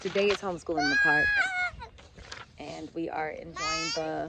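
A woman talks at a fairly slow pace in a dry sound with no echo, with loud background noise behind her. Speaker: homeschool mom vlogger. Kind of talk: casual vlog chat. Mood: cheerful, upbeat. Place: open country. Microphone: phone near.

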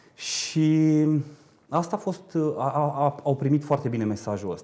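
The man's pitch varies in an ordinary way. His tone is dark and mellow. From Romania, Râmnicu Vâlcea; Romania. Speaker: parliamentary candidate, politician; candidate. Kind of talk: political TV interview; interview answer. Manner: hesitant, many filler sounds. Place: studio. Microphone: lapel.

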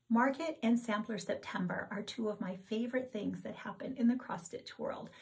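With ordinary pitch variation and a moderate pace, a woman's voice comes through over a quiet background. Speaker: cross-stitch vlogger. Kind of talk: casual vlog chat. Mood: cheerful, animated. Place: home room. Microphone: camera far.

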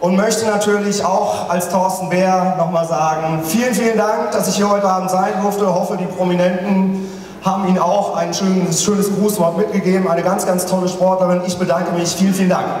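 A man speaks at a high pitch and a fairly quick pace, with hardly any pauses, monotone, flat intonation, and very even loudness. Light background noise and audible room echo can be heard. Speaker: comedian at an award gala. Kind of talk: stage comedy speech, impersonating celebrities. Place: stage.

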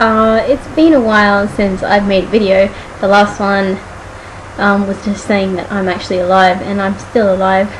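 Light background noise sits behind a woman's voice. She talks at a moderate pace with ordinary pitch variation. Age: 20s. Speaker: vlogger. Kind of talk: casual talk to camera. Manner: casual, frank. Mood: defiant, somewhat annoyed. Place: home room. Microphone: webcam.

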